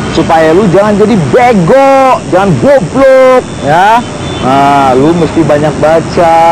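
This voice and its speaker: The speech is very slow, with a dry sound and no echo. Background noise is noticeable. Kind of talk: acted monologue, casual street slang. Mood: rambling, mock-lecturing. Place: street.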